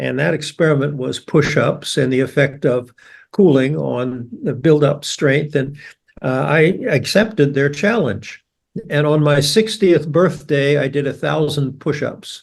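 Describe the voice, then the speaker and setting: A man with a fairly high pitch and vocal fry speaks at a fairly slow pace with ordinary pitch variation. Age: 80s+. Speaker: biology professor. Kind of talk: podcast interview.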